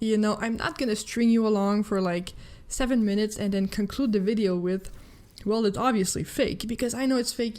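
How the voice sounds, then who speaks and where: A woman speaks in a French-Canadian accent at a fairly quick pace and a fairly high pitch. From Quebec, Canada. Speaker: gaming news youtuber. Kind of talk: casual gaming commentary. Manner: animated.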